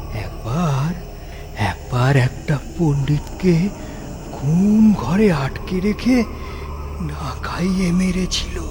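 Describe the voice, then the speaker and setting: A cartoonish character voice at a very slow pace, over loud background noise. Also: man, high pitch for a man. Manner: chatty, rustic.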